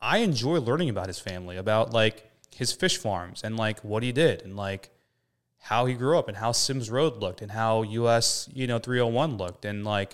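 A man with an American accent and a plain, everyday voice speaks at a medium pitch and a fairly quick pace with ordinary pitch variation, in a very clean recording with a silent background. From Florida (Orlando). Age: 30s. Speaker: real estate developer. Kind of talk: casual chat.

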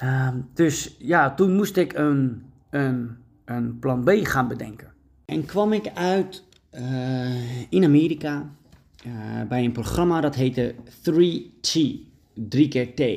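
Speaking very slowly, a man with a medium pitch uses lively intonation. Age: 30s. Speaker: dog trainer and podcast host. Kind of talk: solo podcast monologue. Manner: frequent fillers and hesitations.

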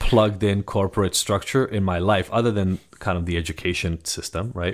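Recorded very cleanly over a silent background, a man with a General American accent speaks at a fairly quick pace in a very deep, low pitch. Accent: general American, near-native. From Israel. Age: 40s. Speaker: addiction psychologist. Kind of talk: casual interview.

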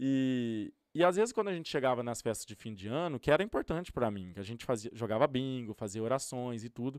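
A man's normal speaking voice at medium pitch, lively in intonation, at a moderate pace, on a very clean recording with a silent background. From Brazil, interior of São Paulo state. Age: 30s. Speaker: youtuber and influencer. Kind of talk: casual interview chat. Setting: studio.

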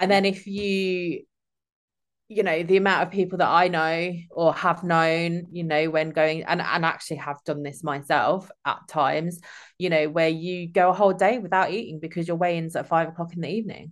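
A woman's fairly low voice in an East Midlands accent, at a moderate pace with fairly even intonation, against a quiet background. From England. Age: 30s. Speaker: former social care worker, gym-goer. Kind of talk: casual chat. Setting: remote call from home. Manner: halting, many fillers.

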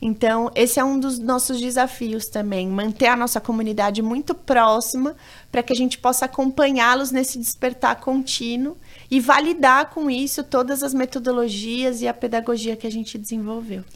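Recorded very cleanly against a silent background, a woman speaks at a high pitch with fairly even intonation. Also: moderate pace. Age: 30s. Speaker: human rights educator, nonprofit founder. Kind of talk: interview.

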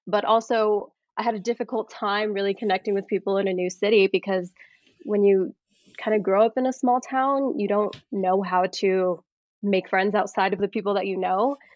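With an American accent, a woman talks at a moderate pace in an unremarkable speaking voice, medium in pitch and fairly even in intonation. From Colorado. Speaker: actor and screenwriter. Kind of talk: interview.

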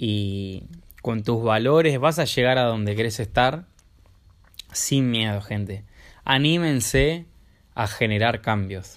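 In a Rioplatense accent, a man speaks at a fairly slow pace and medium pitch with ordinary pitch variation, on a very clean recording with a silent background. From Buenos Aires, Argentina. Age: 20s. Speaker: life coach. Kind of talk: vlog monologue. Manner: halting.

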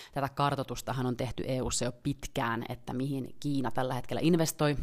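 Her pitch is very deep and low, with vocal fry. The woman speaks at a moderate pace with fairly even intonation. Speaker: member of parliament and podcast host. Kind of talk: solo podcast commentary. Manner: casual, with frequent hesitations.

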